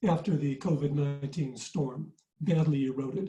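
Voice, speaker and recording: With an American accent, a man speaks at a moderate pace in a dark, mellow tone with ordinary pitch variation. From US Midwest, Michigan. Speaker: resilience consultant, webinar presenter. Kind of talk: webinar presentation. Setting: online webinar.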